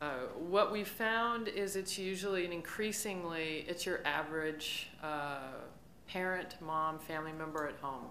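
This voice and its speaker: A woman with a fairly low pitch speaks at a fairly slow pace, with audible room echo and light background noise. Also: ordinary pitch variation. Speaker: startup founder and CEO. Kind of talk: conference panel discussion. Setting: stage with audience. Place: stage. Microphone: podium.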